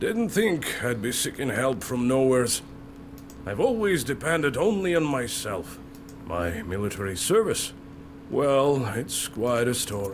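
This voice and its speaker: A man uses a put-on character voice at a medium pitch. He talks at a moderate pace over clear background noise. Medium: game stream.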